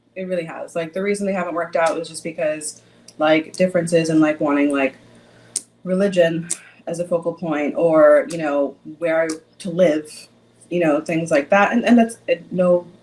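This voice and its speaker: A woman's fairly low pitch at a moderate pace, with big swings in loudness and long, frequent pauses. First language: Bangla. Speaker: reality TV contestant. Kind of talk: casual chat.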